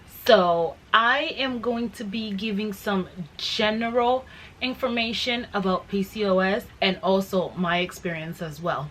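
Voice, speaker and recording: A woman at a medium pitch and a fairly slow pace, with ordinary pitch variation and noticeable background noise. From Guatemala. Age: 20s. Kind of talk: casual talk to camera.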